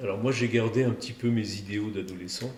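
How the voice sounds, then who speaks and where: A man speaks at a fairly quick pace and fairly low pitch with fairly even intonation. Audible room echo and noticeable background noise are present. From Provence, southern France. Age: 60s. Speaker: cardiac surgeon. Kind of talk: podcast interview. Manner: hesitant, with frequent fillers and repetitions.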